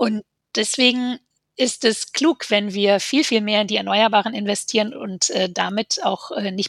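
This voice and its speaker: A woman in an ordinary speaking voice talks at a moderate pace and medium pitch, with fairly even intonation and a dry, close sound with no echo. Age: 40s. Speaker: politician. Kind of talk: casual chat.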